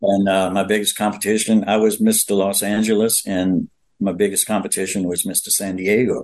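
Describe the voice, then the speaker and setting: With a Louisiana accent, a man talks at a moderate pace in a fairly low pitch, his intonation flat and monotone. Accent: Louisiana Southern US. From Louisiana, New Orleans. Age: 80s+. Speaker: retired bodybuilder and actor. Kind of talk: interview storytelling. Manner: halting, many fillers.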